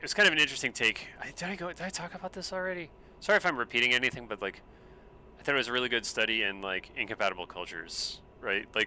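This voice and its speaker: Speaking at a very fast pace with an American accent, a man uses a medium pitch, very wide pitch swings, and a bright, sharp tone. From US South (Space Coast of Florida, Brevard County). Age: 40s. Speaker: gaming live streamer. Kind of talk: casual gaming livestream chat. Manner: casual, rambling with many fillers.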